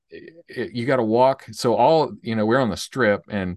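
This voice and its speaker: This speaker talks at a moderate pace with a Southern US accent and ordinary pitch variation. The sound is dry and close with no echo, over a quiet background. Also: man. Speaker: podcast co-host, IT entrepreneur. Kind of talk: casual chat.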